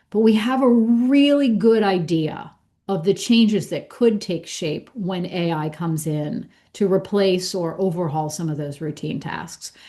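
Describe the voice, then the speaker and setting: Lively in intonation, a woman with an American accent speaks fairly slowly at medium pitch in a dark, mellow tone. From Pittsburgh, US. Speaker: accountant and business school director. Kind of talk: podcast interview.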